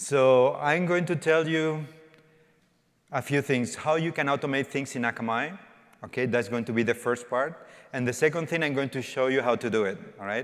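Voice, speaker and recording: A man speaks at a moderate pace. His fairly high pitch shows ordinary variation. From Spain. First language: Spanish. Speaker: developer evangelist. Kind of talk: conference talk. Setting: stage with audience. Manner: interactive, informal.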